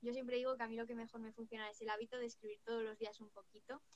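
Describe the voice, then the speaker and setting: A woman does the talking here. Her voice is pitched fairly high. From Spain, Cuenca province. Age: 20s. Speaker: writer and digital marketer. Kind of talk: interview.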